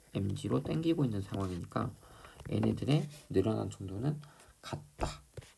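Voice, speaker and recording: A man speaks at a moderate pace in a fairly low pitch, with very wide pitch swings. Audible room echo surrounds his voice. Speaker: high school physics teacher. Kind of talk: lecture. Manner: hesitant, many fillers.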